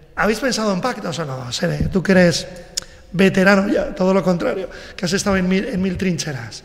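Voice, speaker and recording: At a fairly quick pace, a man speaks with a high pitch. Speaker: radio host. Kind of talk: radio interview with candidates. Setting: radio studio, live broadcast. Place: studio.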